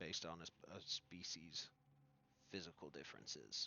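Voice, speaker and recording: A man puts on a character voice, pitched very deep and low, and talks at a moderate pace. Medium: actual play.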